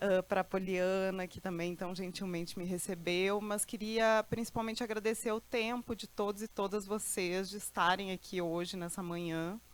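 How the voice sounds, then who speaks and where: Fairly even intonation and a moderate pace in an ordinary speaking voice. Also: woman, medium pitch for a woman, hardly any pauses. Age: 40s. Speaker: lecturer. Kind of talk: lecture.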